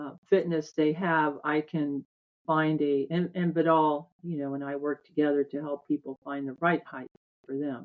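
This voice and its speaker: A woman speaks at a moderate pace in a very deep, low voice with monotone, flat intonation. Her loudness swings widely. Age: 60s. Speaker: tour operator. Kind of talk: interview.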